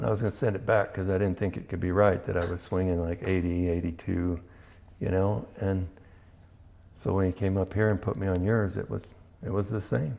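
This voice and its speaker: His tone is dark and mellow, with a very deep, low pitch and fairly even intonation. The man talks at a fairly quick pace. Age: 60s. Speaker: amateur golfer. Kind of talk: casual chat. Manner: halting.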